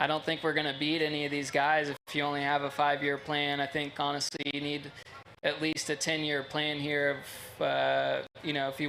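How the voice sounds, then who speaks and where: A man's fairly high, bright and sharp voice in a monotone, flat intonation at a moderate pace, with audible room echo. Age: 30s. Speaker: sprint car driver. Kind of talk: interview. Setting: stage at race track.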